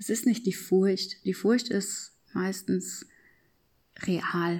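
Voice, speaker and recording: Heard in a very clean recording with a silent background, a woman of medium pitch speaks at a fairly slow pace. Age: 30s. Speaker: podcast host and personal growth coach. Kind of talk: reflective monologue. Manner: unscripted, spontaneous.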